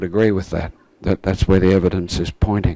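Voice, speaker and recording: The man's voice sits at a fairly low pitch with a dark, mellow tone. His intonation is monotone and flat. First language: German. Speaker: creation science speaker. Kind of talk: lecture.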